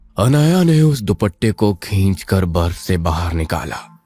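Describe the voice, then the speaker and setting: Over faint music in the background, a man performs a put-on character voice at a very deep, low pitch and a fairly slow pace. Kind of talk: horror narration. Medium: audio drama. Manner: suspenseful.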